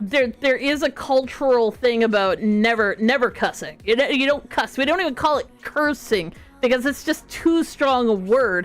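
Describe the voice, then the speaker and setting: Over music in the background, the speaker talks at a moderate pace in a strong Canadian accent, with lively intonation and hardly any pauses. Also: woman, high pitch for a woman. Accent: thick Canadian. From small-town Canada. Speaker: streamer. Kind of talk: casual chat.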